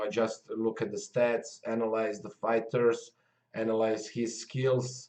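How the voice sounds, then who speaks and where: Speaking with a Croatian accent, a man goes at a fairly slow pace. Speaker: MMA commentator. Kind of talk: casual video talk to viewers. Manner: halting, many fillers.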